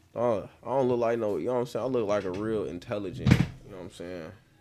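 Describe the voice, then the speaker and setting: Through noticeable background noise, a man talks at a fairly quick pace in a fairly low pitch with lively intonation. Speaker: YouTube reactor. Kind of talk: casual chat. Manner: animated.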